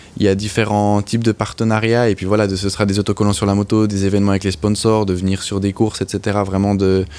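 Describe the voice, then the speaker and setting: A man with a slight Swiss French accent, fairly low pitch and monotone, flat intonation at a very fast pace. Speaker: motorcycle racer. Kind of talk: interview.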